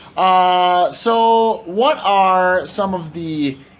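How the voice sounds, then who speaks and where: This is a man with a high voice. His pitch varies in an ordinary way. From Wisconsin, US (Lodi, near Madison). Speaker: expat vlogger. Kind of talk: casual chat.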